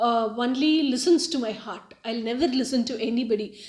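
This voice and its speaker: A woman with a Tamil accent and a high pitch speaks at a fairly slow pace. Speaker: spiritual YouTuber. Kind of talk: personal testimony monologue. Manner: halting, many fillers.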